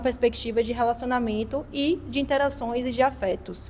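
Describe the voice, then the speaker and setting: At a moderate pace, a woman talks in a high voice. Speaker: discussion facilitator. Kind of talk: group talk. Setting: hostel gathering.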